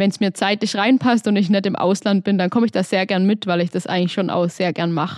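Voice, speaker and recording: A woman with an unremarkable speaking voice at medium pitch and fairly even intonation. The sound is dry and close with no echo, over a quiet background. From Baden-Württemberg, Hohenlohe (Öhringen). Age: 20s. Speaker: entrepreneur and engineer. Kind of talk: interview. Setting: studio.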